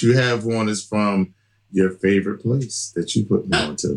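A man's fairly low-pitched, ordinary speaking voice with ordinary pitch variation, on a very clean recording with a silent background. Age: 40s. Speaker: podcast guest discussing dating. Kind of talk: casual chat.

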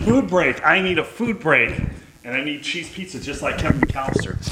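With noticeable background noise behind him, a man speaks at a moderate pace in a high voice with big swings in loudness. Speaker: film podcast host. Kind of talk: casual watch-along chat. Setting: live stream recording.

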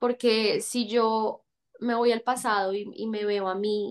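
Against a quiet background, a woman talks with fairly high pitch and fairly even intonation. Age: 20s. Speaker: actress. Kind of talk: casual chat.

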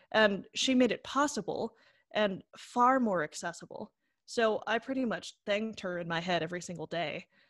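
This is a plain, everyday voice with lively intonation at a moderate pace. The recording is very clean, dry and close, with a silent background and no echo. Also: woman, medium pitch for a woman. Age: 20s. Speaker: actor and composer with a hearing impairment. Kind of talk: casual chat.

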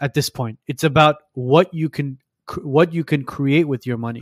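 This man has an unremarkable speaking voice, fairly high in pitch with ordinary pitch variation, in a dry, close sound with no echo. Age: 30s. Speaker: podcast host, registered nurse. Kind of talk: casual chat.

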